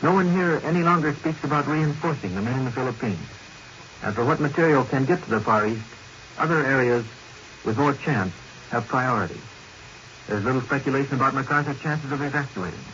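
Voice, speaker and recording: Noticeable background noise accompanies a man with a fairly high pitch and ordinary pitch variation. He talks at a very fast pace yet leaves long, frequent pauses. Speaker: Washington news correspondent. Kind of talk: 1940s radio news report. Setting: vintage 1942 broadcast recording.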